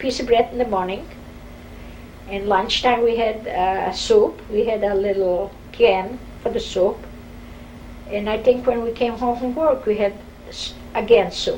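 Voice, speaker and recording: With noticeable background noise and audible room echo, a woman talks at a fairly slow pace with fairly even intonation, long, frequent pauses and big swings in loudness. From Poland, Warsaw. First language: Polish or Yiddish. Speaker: Holocaust survivor. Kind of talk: oral history interview.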